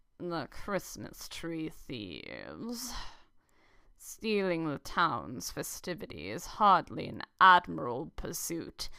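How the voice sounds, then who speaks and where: A female-sounding voice puts on a character voice at a middle pitch. The delivery is very slow. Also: very clean recording, silent background. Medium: game stream. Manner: formal, measured.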